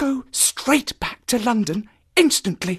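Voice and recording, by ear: In a put-on character voice with a slightly husky edge, the speaker moves at a slow pace with lively intonation. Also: man, extremely high pitch for a man.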